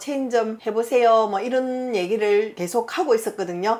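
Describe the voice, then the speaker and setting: The speaker is a woman with a Busan accent. Her intonation stays fairly even. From Busan, South Korea. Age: 50s. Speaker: shaman fortune teller. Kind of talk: fortune-telling interview answer. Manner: frank, matter-of-fact.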